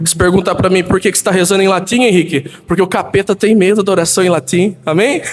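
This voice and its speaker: A man with a high pitch speaks at a fairly quick pace against noticeable background noise. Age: 20s. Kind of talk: sermon. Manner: animated.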